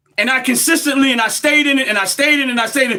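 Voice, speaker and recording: In a raised, projected voice, a man with an American accent speaks in a passionate tone with ordinary pitch variation. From United States. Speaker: livestream commentator. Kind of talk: live-stream monologue. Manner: loud, passionate.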